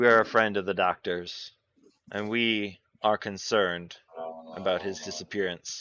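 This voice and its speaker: Using a gruff, put-on character voice at a fairly low pitch, a man speaks at a moderate pace with fairly even intonation and long, frequent pauses. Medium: actual play. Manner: cordial, respectful.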